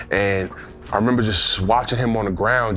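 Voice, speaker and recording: Music plays in the background as a man with a New York accent speaks at a moderate pace. His pitch is fairly low, his intonation fairly even, and room echo is audible. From US Northeast, Queens, New York. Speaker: former pro football player. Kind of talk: interview testimony.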